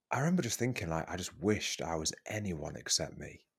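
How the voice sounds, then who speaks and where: Vocal fry runs through this man's voice. He speaks at a fairly quick pace. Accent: British. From UK. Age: 30s. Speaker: transformational coach. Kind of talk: casual chat.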